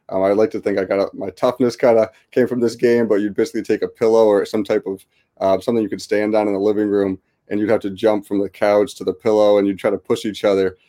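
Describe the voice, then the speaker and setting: In a US Northeastern accent, the speaker goes very fast in a dark, mellow tone with monotone, flat intonation and a dry, close sound with no echo. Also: man, fairly low pitch for a man. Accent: US Northeast. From US Northeast, West Hartford, Connecticut. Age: 20s. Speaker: basketball coach and author. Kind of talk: interview.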